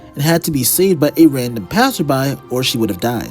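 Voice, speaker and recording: A man is speaking. Music plays in the background. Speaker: YouTuber. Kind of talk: commentary narration.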